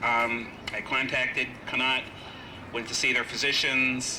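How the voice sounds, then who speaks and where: A man's medium-pitched, monotone voice with flat intonation at a moderate pace, set against noticeable background noise and audible room echo. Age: 50s. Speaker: physical therapist speaking as vaccine trial patient. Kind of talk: rally speech. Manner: hesitant, many fillers.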